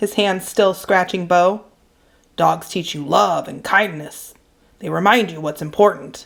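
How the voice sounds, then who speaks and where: Putting on a raspy character voice, a woman speaks at medium pitch and a fairly slow pace. Her loudness swings widely. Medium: read story. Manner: folksy, plainspoken.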